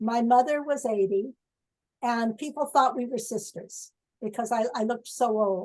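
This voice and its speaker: The speaker is a woman with a high voice. Its pitch moves in an ordinary way. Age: 70s. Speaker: retired professor and biostatistician. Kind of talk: Q&A after talk. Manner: halting.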